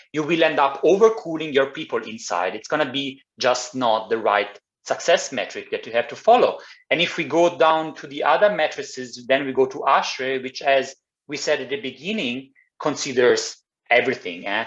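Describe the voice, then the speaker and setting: A man with an Italian accent, fairly high-pitched, with lively intonation. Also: moderate pace. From Italy. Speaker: climate engineer. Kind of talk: presentation. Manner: halting.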